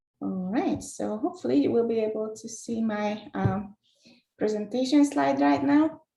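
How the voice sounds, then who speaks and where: A woman with a fairly high pitch has a dark, mellow, somewhat breathy tone. She speaks at a moderate pace with very wide pitch swings. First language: not English, not Spanish. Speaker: data scientist, tech speaker. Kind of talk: webinar presentation. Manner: many filler hesitations.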